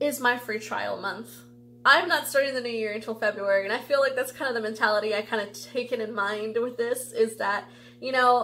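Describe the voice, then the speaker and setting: A woman speaks at a high pitch. Noticeable background noise runs underneath. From US (Ecuadorian-born). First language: Spanish. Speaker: tarot reader youtuber. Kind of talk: casual vlog monologue. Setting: home video recording under lights. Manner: chatty, many fillers.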